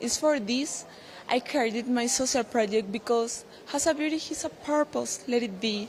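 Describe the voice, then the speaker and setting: A woman in a Paraguayan accent, fairly high in pitch, with ordinary pitch variation and a moderate pace, over noticeable background noise. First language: Spanish. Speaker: beauty pageant contestant. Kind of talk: interview. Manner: halting non-native English.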